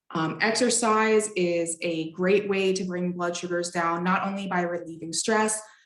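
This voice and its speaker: Her intonation fairly even, a woman speaks in a space with audible room echo. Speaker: dietitian and presenter living with diabetes. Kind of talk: lecture. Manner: fast.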